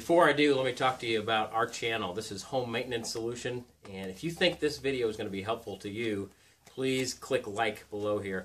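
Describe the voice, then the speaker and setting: Using ordinary pitch variation, a man speaks at a fairly quick pace. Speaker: presenter. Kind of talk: tutorial. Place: home room. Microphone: camera far.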